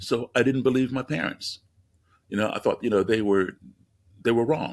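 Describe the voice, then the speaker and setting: This man has an unremarkable speaking voice of medium pitch and keeps a moderate pace. The recording is very clean, with a silent background. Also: ordinary pitch variation. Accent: American. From US, raised partly abroad in diplomatic postings. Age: 60s. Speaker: musician and race relations speaker. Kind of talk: podcast interview.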